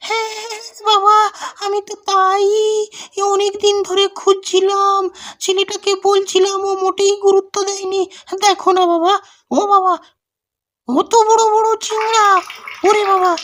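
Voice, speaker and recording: In a cartoonish character voice, a woman speaks at an extremely high pitch with monotone, flat intonation. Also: fairly slow pace. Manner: loud, complaining exclamations.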